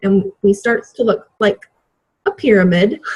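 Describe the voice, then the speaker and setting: A woman with a somewhat breathy voice. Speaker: fitness business coach. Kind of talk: training call.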